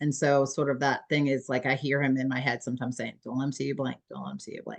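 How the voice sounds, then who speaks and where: A woman with an American accent speaks at a very fast pace in a very deep, low voice. Her intonation is monotone and flat, with vocal fry. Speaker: aging services executive. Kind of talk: casual chat.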